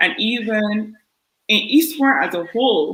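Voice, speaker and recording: A woman speaks at a fairly slow pace in a strong Barbadian accent. Her pitch shows ordinary variation. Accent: thick Barbadian. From Barbados. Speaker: podiatrist. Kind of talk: panel discussion.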